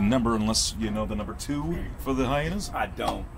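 Over noticeable background noise, a man speaks fairly quickly. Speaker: game commentator. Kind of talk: sports commentary. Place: stadium.

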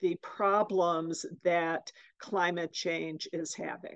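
A woman speaks at a very slow pace against a quiet background, the sound dry with no echo. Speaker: oncologist. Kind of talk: presentation. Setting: video call. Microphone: video call.

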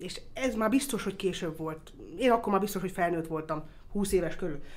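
A woman is speaking. Room echo is audible around her voice. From Austria (Vienna), Hungarian family. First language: English (speaking Hungarian). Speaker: motorsport circuit executive. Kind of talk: interview. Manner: hesitant, with fillers.

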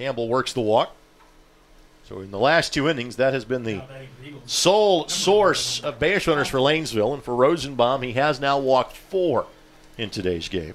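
A man talks at a moderate pace in an ordinary speaking voice, his intonation lively. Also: medium pitch for a man. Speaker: play-by-play announcer. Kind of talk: live sports commentary. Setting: press box at outdoor baseball game. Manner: fluent, steady play-by-play delivery, upbeat with occasional laughs.

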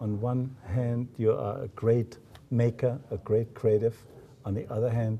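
With light background noise, the voice is somewhat breathy with a dark, mellow tone and a moderate pace. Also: man. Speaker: business school host. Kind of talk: interview. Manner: halting. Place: meeting room.

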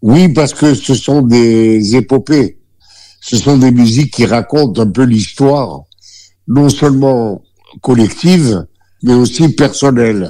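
At a very slow pace, a man with a medium pitch and a dark, mellow tone keeps very even loudness, ordinary pitch variation, and long, frequent pauses. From Algeria. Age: 80s+. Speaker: singer. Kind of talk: interview answer.

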